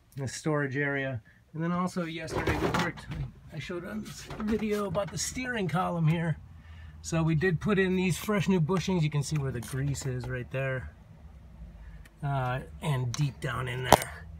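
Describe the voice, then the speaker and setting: A man talks at a moderate pace with lively intonation, leaving long, frequent pauses. Noticeable background noise runs under him. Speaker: vlogger living in a converted bus; bus conversion vlogger. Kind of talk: casual video walkthrough. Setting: inside a bus. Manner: casual, hesitant with fillers. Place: bus. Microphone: phone near.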